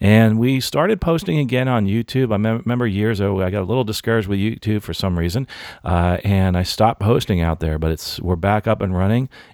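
A man with a normal speaking voice, fairly low in pitch, ordinary pitch variation and a fairly quick pace, on a very clean recording with a silent background. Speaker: podcast host. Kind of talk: podcast interview. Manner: casual, friendly.

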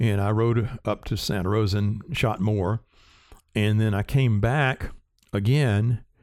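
This man has a Southern US accent and a fairly low pitch, with a dark, mellow tone and ordinary pitch variation. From US South, rural South Carolina. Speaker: cinematographer and Steadicam operator. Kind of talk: interview.

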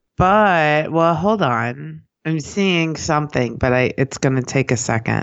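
Lively intonation and very even loudness, at a fairly slow pace, with a slight New York accent. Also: woman, very deep, low pitch for a woman. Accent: sounds a bit like a New Yorker. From US Midwest, Kansas City. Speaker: podcast co-host. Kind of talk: casual chat.

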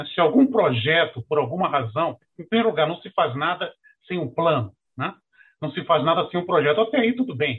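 The man talks at a fairly quick pace in a high pitch. His intonation is lively. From Rio de Janeiro, Brazil. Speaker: retired federal judge. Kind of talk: webinar presentation.

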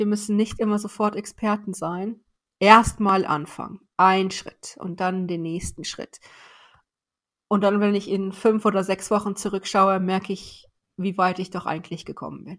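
On a very clean recording with a silent background, a woman speaks fairly slowly in a flat monotone, her loudness swinging widely. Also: medium pitch for a woman. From northern Germany, Weserbergland countryside. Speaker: corporate learning executive. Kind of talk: interview.

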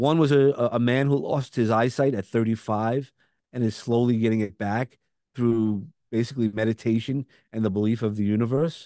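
A dark, mellow tone with a Brooklyn accent. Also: man, medium pitch for a man, fairly even intonation, moderate pace. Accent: Brooklyn, noticeable. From Brooklyn, New York. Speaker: speaker and coach. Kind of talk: podcast interview, conversational.

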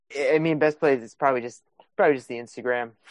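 A fairly quick delivery in an American accent. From Wisconsin. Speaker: film composer. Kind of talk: casual chat.

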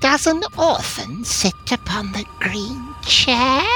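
Over clear music in the background, someone delivers a put-on character voice at a very slow pace.

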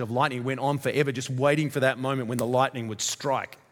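In an Australian accent, a man speaks at a medium pitch with monotone, flat intonation. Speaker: visiting pastor from a church plant. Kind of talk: sermon. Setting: church.

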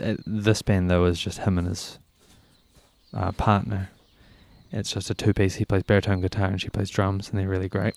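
With a New Zealand accent, a man speaks in a fairly low, monotone, flat voice broken by long, frequent pauses. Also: moderate pace, very clean recording, silent background. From New Zealand, Christchurch area. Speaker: musician. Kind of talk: interview. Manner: casual, hesitant with fillers.

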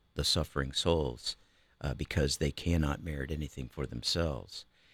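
On a very clean recording with a silent background and a dry, close sound with no echo, a man with an American accent speaks at a moderate pace with vocal fry. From Ohio, US Midwest. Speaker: retired banker. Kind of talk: casual chat.

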